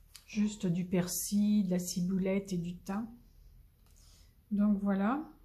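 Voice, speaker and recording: In a room with audible echo, a woman with a medium pitch speaks very slowly in a monotone, flat way. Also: long, frequent pauses. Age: 70s. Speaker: crafting youtuber. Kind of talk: casual chat. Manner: halting.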